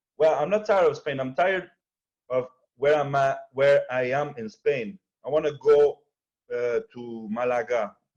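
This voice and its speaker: A man at a moderate pace, with a slight French accent and ordinary pitch variation. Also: fairly high pitch for a man. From Quebec, Montreal. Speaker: entrepreneur and video editor. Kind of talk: casual chat.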